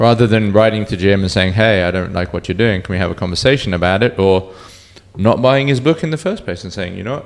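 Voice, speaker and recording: A very fast pace with ordinary pitch variation. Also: man, fairly low pitch for a man. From Cornwall, England. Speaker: bartender. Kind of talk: casual chat.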